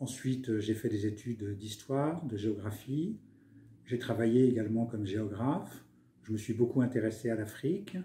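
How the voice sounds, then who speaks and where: The voice has a dark, mellow tone, a somewhat breathy quality and ordinary pitch variation. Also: man. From France, Paris. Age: 70s. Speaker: author, retired senior civil servant. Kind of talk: interview. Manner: hesitant, many fillers.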